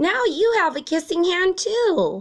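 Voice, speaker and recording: In a put-on character voice, a woman sounds squeaky and extremely high-pitched. Her intonation is lively, and her pace is fairly slow. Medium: read story.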